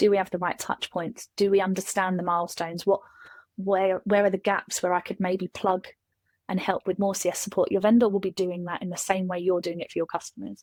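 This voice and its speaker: Delivered in a Kent accent at a fairly quick pace, the speech is monotone and flat, with a dry, close sound and no echo. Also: woman, medium pitch for a woman. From England, Kent. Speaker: SaaS customer success specialist. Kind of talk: casual chat.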